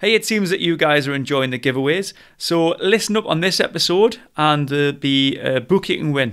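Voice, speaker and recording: A man with a northern English accent and fairly high pitch, lively intonation at a moderate pace, hardly any pauses, on a very clean recording with a silent background. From northern England. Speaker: podcast host. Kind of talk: interview.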